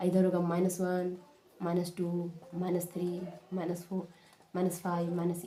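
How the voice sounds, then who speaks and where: A woman is heard over noticeable background noise. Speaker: maths teacher. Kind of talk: tutorial. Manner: repetitive, explanatory.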